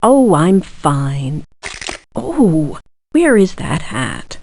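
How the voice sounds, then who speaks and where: A woman's put-on character voice, very deep and low in pitch, at a very slow pace. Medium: video game. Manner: warm but no-nonsense.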